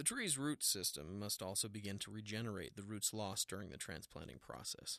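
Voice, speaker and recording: A man talks at a fairly quick pace with a fairly low pitch. His tone is bright and sharp. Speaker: arborist narrator. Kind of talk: noir detective narration, first-person storytelling. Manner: measured storyteller pacing.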